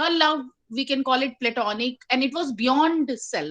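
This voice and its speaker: A woman speaks with an Indian accent in a high voice. Her pace is moderate against a quiet background. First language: Hindi. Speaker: poet and English lecturer. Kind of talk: poetry reading at online open mic. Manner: halting, many fillers.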